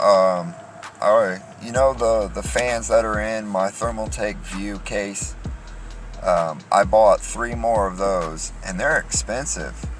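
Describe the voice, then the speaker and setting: A man speaks at a very slow pace. The sound is dry with no echo, and faint music plays in the background. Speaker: driver vlogger. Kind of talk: casual vlog chat. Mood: annoyed, venting. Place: car. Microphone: phone near.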